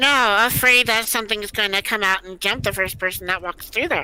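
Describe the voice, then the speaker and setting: A woman puts on a character voice at a medium pitch, with ordinary pitch variation and a fairly quick pace. The recording is very clean, with a silent background. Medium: virtual streamer. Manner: sarcastic.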